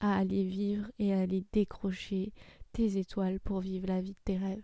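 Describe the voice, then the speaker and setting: The voice of a woman is dark and mellow. Her sound is dry and close, free of echo. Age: 30s. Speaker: podcast host, personal development coach. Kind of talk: solo self-introduction monologue.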